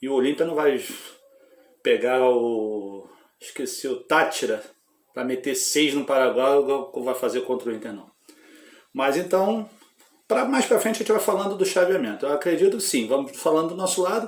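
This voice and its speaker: A man's fairly high pitch with very wide pitch swings and long, frequent pauses. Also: moderate pace. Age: 40s. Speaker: football fan YouTuber. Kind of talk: casual football talk vlog. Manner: animated.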